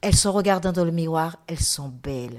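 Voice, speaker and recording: Her voice is very deep and low for a woman, with ordinary pitch variation. She speaks at a moderate pace in a very clean recording with a silent background. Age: 70s. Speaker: artist and podcast guest. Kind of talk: testimony.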